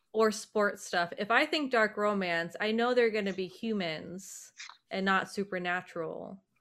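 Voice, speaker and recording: On a very clean recording with a silent background, a woman speaks in a normal speaking voice at a medium pitch and a fairly slow pace, with ordinary pitch variation. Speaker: podcast host. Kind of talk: casual chat.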